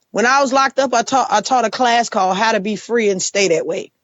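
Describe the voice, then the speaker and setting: A woman with an American accent has an ordinary speaking voice. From Chicago, south side. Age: 40s. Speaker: formerly incarcerated advocate and organizer. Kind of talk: podcast interview.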